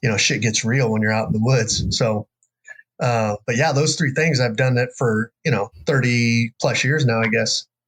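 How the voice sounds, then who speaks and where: In a rural American accent, a man speaks at a moderate pace and medium pitch with fairly even intonation and very even loudness. The sound is dry and close, with no echo. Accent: rural American, redneck-sounding. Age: 50s. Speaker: bowhunter and jiu-jitsu instructor. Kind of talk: casual interview chat. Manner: casual, many fillers.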